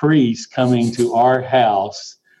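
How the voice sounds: The voice has a dark, mellow tone. It moves at a slow pace with ordinary pitch variation. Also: man.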